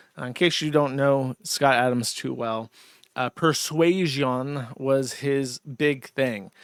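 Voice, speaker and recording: The intonation stays fairly even. The recording is very clean with a silent background, and the sound is dry and close with no echo. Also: man. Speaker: streamer commentator. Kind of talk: casual commentary.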